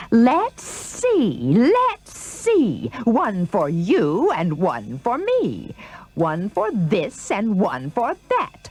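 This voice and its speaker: A female-sounding, put-on character voice speaks at a very slow pace in a fairly high pitch. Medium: read story. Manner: demanding, excitable.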